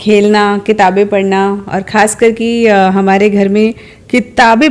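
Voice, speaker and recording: Noticeable background noise fills the clip. A woman is speaking. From India, Delhi (Sadar Bazaar). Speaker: former civil servant, coaching institute founder. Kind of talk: interview.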